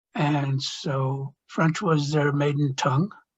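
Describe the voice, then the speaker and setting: Here is a man with a fairly high pitch. His voice is somewhat breathy. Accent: Chicago. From US Midwest, Chicago. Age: 70s. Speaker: retired doctor. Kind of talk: oral history interview. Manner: halting, with fillers.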